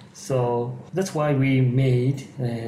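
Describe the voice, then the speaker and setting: A man with a Japanese accent, amid noticeable background noise and audible room echo. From Japan, Kanagawa Prefecture. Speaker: geriatric psychiatrist and yoga teacher. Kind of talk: interview. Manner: halting.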